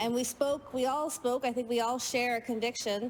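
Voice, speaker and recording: With a Canadian accent, a woman at a fairly high pitch talks at a moderate pace using fairly even intonation. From Canada, French Canadian. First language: French. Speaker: provincial legislator. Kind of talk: legislative speech.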